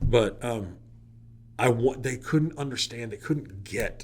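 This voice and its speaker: The man's tone is animated. His voice is somewhat breathy. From Oklahoma. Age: 40s. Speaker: teacher and wedding DJ. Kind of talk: casual interview. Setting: studio.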